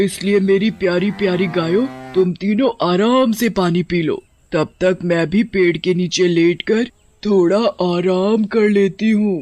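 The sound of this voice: A cartoonish character voice at a middle pitch and fairly slow pace, with music in the background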